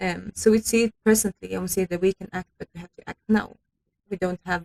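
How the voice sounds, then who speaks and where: A woman of medium pitch speaks in a monotone, flat delivery with a Swedish accent. Her loudness swings widely, and the sound is dry and close with no echo. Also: fairly quick pace. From Sweden. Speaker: youth climate activist. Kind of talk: radio interview. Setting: radio studio. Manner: hesitant with fillers.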